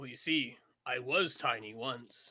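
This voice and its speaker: A man uses a raspy put-on character voice at a fairly slow pace. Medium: actual play. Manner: friendly, simple.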